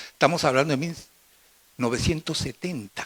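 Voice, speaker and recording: A man with a fairly high pitch speaks at a moderate pace. His tone is bright and sharp, and the sound is dry and close with no echo. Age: 70s. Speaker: physician, audience questioner. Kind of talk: audience question at conference.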